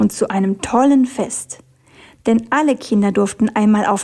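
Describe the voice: The speaker is plainly reading aloud. The pitch varies in an ordinary way.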